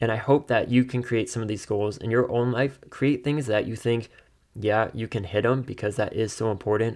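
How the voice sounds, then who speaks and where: A normal speaking voice goes at a fairly quick pace. The recording is very clean, with a silent background. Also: man. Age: 20s. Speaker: podcast host. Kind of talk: solo monologue with personal updates. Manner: upbeat, laughs often.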